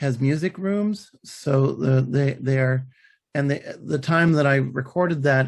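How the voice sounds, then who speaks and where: Somewhat breathy and fairly high in pitch, a man's voice moves at a moderate pace with fairly even intonation. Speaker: author and podcaster. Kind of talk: interview. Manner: halting, many fillers and restarts.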